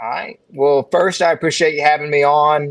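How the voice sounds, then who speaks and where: A man speaks with a Southern US accent at a fairly high pitch. The recording is very clean, with a silent background. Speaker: financial advisor. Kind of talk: casual chat.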